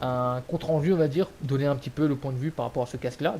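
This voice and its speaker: This man talks at a fairly quick pace. His tone is dark and mellow. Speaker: gaming YouTuber. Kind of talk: product review. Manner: loud; hesitant, many fillers. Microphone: cheap gaming headset mic.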